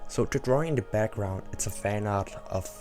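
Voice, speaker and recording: Music runs underneath as a man talks, his pitch varying in an ordinary way. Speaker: digital artist. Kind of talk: casual talk to camera.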